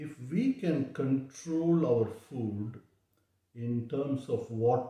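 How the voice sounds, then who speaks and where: A man talks in a dark, mellow tone that is somewhat breathy. His pitch varies in an ordinary way. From South India (Chennai). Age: 60s. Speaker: diabetes health vlogger. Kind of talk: personal testimony. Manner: halting, many fillers.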